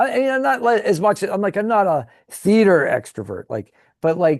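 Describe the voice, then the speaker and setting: A man with an American accent speaks at a moderate pace in a high pitch. The background is quiet. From Pittsburgh, western Pennsylvania. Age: 50s. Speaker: YouTuber. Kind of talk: casual interview chat. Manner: halting, many self-repeats.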